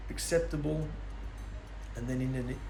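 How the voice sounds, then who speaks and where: Noticeable background noise and audible room echo around a man's fairly quick speech. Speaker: bible teacher. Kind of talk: bible teaching. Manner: loud.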